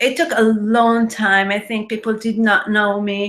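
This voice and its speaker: With an Israeli accent, a woman speaks very slowly in a fairly high voice with a bright, sharp tone. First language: Hebrew. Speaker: web designer and marketing trainer. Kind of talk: webinar presentation. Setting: live online webinar with screen share.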